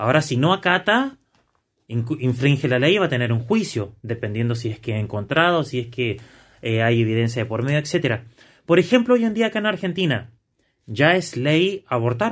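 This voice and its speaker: A man talks at a moderate pace, somewhat breathy, his pitch swinging very widely, on a very clean recording with a silent background. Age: 30s. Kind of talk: casual discussion.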